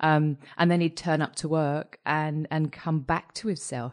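With a British accent, a woman speaks at a moderate pace in a very deep, low voice, recorded dry and close with no echo against a quiet background. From UK. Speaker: mental health director. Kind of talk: casual chat.

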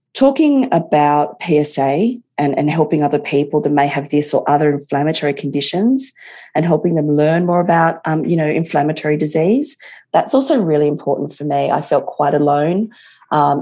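A woman with an Australian accent speaks at a moderate pace, her pitch very deep and low and her tone dark and mellow. The background is quiet. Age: 40s. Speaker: patient with chronic arthritis. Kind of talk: interview testimony.

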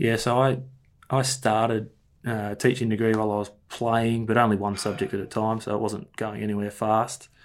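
This man has an Australian accent and a medium pitch. His intonation is monotone and flat, and his pace is moderate. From Melbourne outer east, Australia. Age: 30s. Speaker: football coach. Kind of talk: interview. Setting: video call. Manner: halting, many fillers and repeats.

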